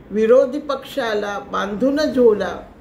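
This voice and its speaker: Noticeable background noise surrounds a woman speaking at a high pitch. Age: 80s+. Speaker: poet. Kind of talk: poetry reading.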